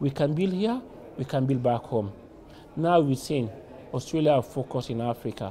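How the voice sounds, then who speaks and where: A somewhat breathy man with a dark, mellow tone speaks at a moderate pace with lively intonation over light background noise. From Sierra Leone. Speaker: community youth leader. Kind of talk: interview monologue. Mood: earnest, hopeful.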